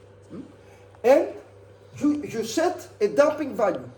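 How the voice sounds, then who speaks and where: There is audible room echo and noticeable background noise. A woman speaks at a moderate pace. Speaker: university lecturer. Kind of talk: lecture. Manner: halting.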